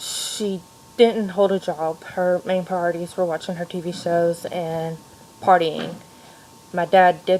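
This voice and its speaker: Over noticeable background noise, a woman with an American accent speaks slowly-ish at a fairly slow pace, her fairly low pitch held in a flat monotone. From Kentucky, Louisville. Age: 30s. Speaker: education student and mother. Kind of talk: personal video monologue. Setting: home playroom at night. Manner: hesitant, with frequent fillers.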